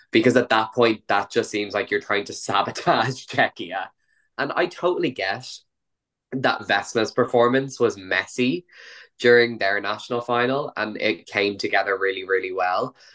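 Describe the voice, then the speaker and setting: Against a quiet background, a man with an Irish accent speaks at a moderate pace and medium pitch, his tone bright and sharp with ordinary pitch variation. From Ireland. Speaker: podcast host. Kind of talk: casual chat.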